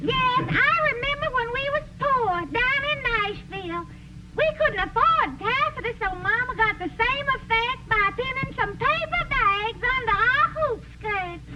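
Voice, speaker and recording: A woman's cartoonish character voice in a Southern US accent, extremely high-pitched and fairly slow, with noticeable background noise. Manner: bossy, suspicious.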